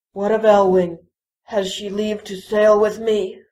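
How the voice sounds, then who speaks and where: A female-sounding put-on character voice sits at a medium pitch. It moves at a fairly slow pace with a monotone, flat intonation. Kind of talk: audio drama dialogue.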